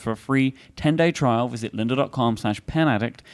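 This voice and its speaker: The recording is very clean, and the background is silent. A man talks with a British accent and ordinary pitch variation. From England. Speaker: podcast host. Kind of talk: casual chat. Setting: stage with audience.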